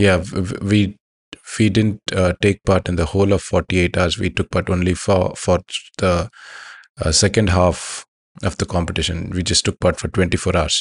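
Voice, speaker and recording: The delivery is monotone, with flat intonation, at a moderate pace. The background is quiet. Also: man, very deep, low pitch for a man, dry, close sound with no echo. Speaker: podcast host. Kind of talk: scripted intro and outro, podcast updates. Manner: hesitant, halting with fillers.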